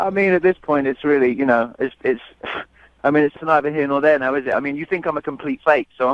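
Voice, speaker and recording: A man rattles off his words very fast, his intonation staying fairly even. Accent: British. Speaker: man on a date. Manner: hesitant, halting.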